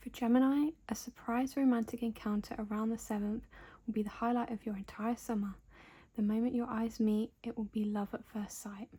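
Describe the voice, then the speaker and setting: A soft-spoken woman with a British accent talks at a fairly quick pace, her fairly high pitch held in a monotone, flat intonation. Her tone is dark, mellow, somewhat breathy and relaxed. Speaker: ASMR creator. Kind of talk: ASMR magazine flip-through narration. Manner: soft-spoken, relaxed.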